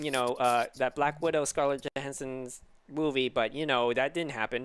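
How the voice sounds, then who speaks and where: This man's squeaky voice sits fairly high in pitch, moving at a moderate pace with flat, monotone intonation. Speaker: podcast host. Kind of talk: casual chat. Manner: halting.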